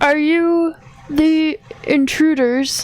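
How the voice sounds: A woman's put-on character voice, high in pitch.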